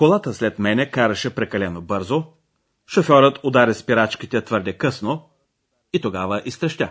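With an ordinary speaking voice, a man speaks at a fairly slow pace and medium pitch with lively intonation. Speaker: language course presenter. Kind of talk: language lesson narration. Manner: formal.

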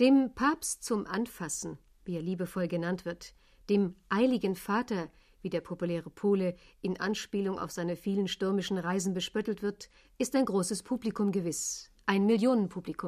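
Here is a woman with a normal speaking voice at a medium pitch. She talks at a moderate pace with ordinary pitch variation. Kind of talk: 1980 radio news report. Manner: formal, crisp, brisk broadcast narration.

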